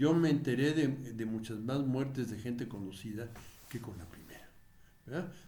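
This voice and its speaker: Somewhat breathy, a man speaks at a fairly slow pace with lively intonation. The room echo is audible. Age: 70s. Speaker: political commentator, retired politician. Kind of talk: video commentary monologue. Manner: halting, many fillers.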